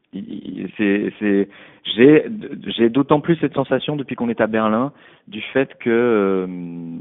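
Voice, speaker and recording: A man speaks at a very slow pace, with big swings in loudness. He leaves long, frequent pauses. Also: medium pitch for a man, ordinary pitch variation. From Paris, France. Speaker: musician. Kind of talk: interview. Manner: halting.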